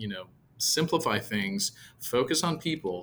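Speaking in an American accent, a man lets his pitch vary an ordinary amount. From US West Coast, San Jose, California. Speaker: property management executive. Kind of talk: interview conversation.

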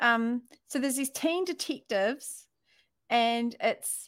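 A woman's high voice with ordinary pitch variation, on a very clean recording with a silent background.

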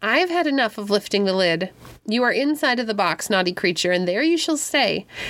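The voice reads naturally. Nothing about the reading sounds strained.

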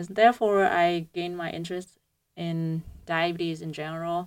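A woman's fairly low voice with a Vietnamese accent, monotone and flat in intonation, at a moderate pace, on a very clean recording with a silent background. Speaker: PhD student researcher. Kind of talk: radio interview explaining science. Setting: radio studio. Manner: hesitant, many fillers.

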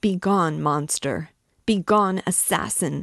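A shaky, put-on character voice, female-sounding and fairly low, delivered at a fairly slow pace. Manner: trembling with wrath and horror.

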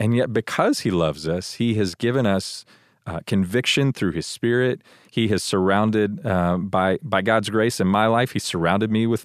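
In an American accent, an ordinary speaking voice moves at a moderate pace with ordinary pitch variation and very even loudness, the sound dry and close with no echo over a quiet background. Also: man. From Texas, Houston. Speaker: church staff member and father. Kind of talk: casual chat.

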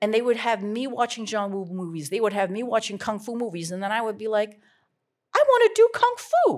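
A woman with a plain, everyday voice and a fairly high pitch speaks at a fairly quick pace, her loudness swinging widely. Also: ordinary pitch variation. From Vancouver, Canada. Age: 50s. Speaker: author and former music manager. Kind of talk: live onstage interview. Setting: stage with audience.

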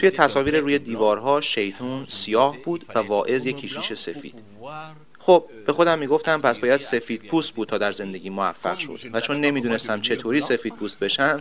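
In a Cameroonian accent, a man speaks at medium pitch. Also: ordinary pitch variation, fairly quick pace. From Cameroon, Douala. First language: Duala (speaking Persian). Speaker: musician. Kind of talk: interview.

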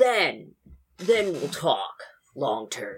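In a put-on character voice, someone speaks raspily at a middle pitch and a fairly slow pace. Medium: actual play. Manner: confident, persuasive.

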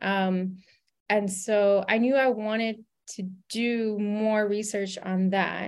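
A woman speaks very slowly in a flat monotone. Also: medium pitch for a woman. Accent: American. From US South, Louisiana. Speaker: journalism professor. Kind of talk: interview. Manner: halting, many fillers.

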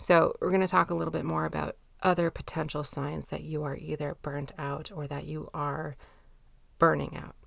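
A woman at a moderate pace, with big swings in loudness, on a very clean recording with a silent background. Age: 30s. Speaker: podcast host and mental health therapist. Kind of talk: solo podcast monologue.

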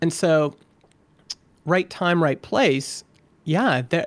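A man's unremarkable speaking voice, fairly high in pitch, with ordinary pitch variation, on a very clean recording with a silent background. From Alberta, Canada. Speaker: software founder and podcaster. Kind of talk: interview.

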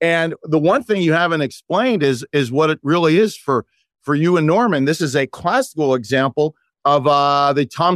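A man with a fairly high pitch speaks in an ordinary speaking voice at a moderate pace, with ordinary pitch variation and very even loudness, and the sound is dry and close with no echo. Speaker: magician and podcast guest. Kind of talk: casual chat. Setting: video call.

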